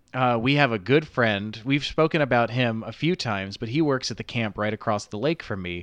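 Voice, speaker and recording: A man talks fairly quickly with hardly any pauses, in an unremarkable speaking voice. His pitch is medium with ordinary variation, and the background is quiet. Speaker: podcast co-host. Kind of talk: casual chat. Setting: video call.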